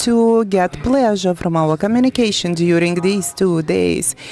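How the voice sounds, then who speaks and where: Speaking with a non-native accent, a woman uses lively intonation. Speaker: forum moderator. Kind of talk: event moderation. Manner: halting.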